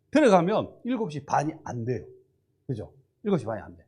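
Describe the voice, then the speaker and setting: This man has an animated tone and a fairly high pitch. He talks at a fairly quick pace. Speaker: pastor. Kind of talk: sermon. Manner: fast.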